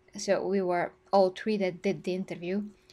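Speaking at a medium pitch, a woman with a Bulgarian accent keeps a monotone, flat intonation. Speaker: gaming YouTuber. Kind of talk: live stream discussion.

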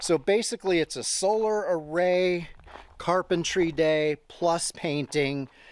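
A man at a high pitch and a very slow pace, with ordinary pitch variation, very even loudness and a dry sound with no echo. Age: 50s. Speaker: solo homesteader vlogger. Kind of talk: casual vlog narration. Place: open country. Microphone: phone near.

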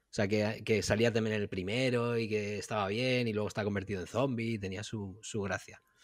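A man speaks at a fairly quick pace with hardly any pauses, his pitch fairly low and his intonation flat and monotone. The recording is very clean, with a silent background. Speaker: podcast co-host. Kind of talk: casual chat.

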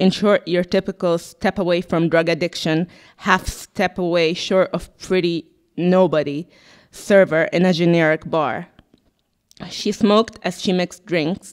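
A woman's fairly low-pitched voice at a fairly slow pace, an ordinary speaking voice against a quiet background. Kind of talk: literary reading. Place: shop. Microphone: handheld.

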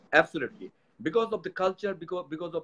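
Ordinary pitch variation marks a man's speech. He talks at a very fast pace. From Bangladesh. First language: Bengali. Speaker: company executive; guest. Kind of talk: interview. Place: office. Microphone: speakerphone, speaking louder.

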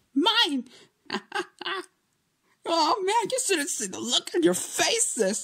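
This put-on character voice sits at an extremely high pitch and makes very wide pitch swings. It moves at a fairly slow pace with long, frequent pauses. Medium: dub. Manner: playful, gleeful.

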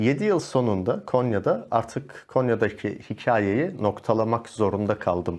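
A man's medium-pitched voice at a fairly slow pace, with very even loudness, ordinary pitch variation and a quiet background. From Turkey, Malatya; Turkey. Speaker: yoga instructor and life coach; yoga instructor, life coach. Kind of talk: casual interview chat. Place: studio.

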